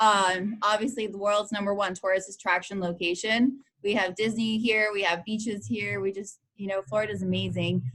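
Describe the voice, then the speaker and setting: A woman speaks in a plain, everyday voice with an American accent, at a medium pitch. Her intonation is fairly even, and she keeps a moderate pace with hardly any pauses. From Boston, after moving from Brazil as a child. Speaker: event business owner. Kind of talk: interview.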